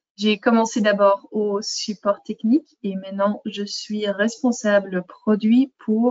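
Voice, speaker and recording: A woman speaks very slowly with a non-native accent. Her pitch is fairly high. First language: not French (speaking French). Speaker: software product manager. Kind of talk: webinar presentation. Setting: online webinar. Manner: hesitant, many fillers.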